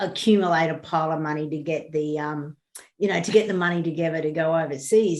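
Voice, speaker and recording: Speaking fairly quickly with an Australian accent, a woman uses ordinary pitch variation against a quiet background. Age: 60s. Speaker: bereaved parent. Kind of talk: interview.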